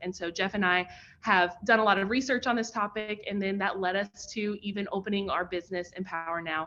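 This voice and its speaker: A woman's medium-pitched, bright, sharp tone at a fairly quick pace, in a Kentucky accent. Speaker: professor and pitch coach. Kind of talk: online workshop presentation. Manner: animated.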